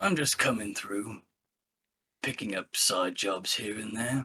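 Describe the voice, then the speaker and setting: In a raspy, put-on character voice, a man talks fairly slowly at medium pitch with ordinary pitch variation. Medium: actual play. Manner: polite, laconic.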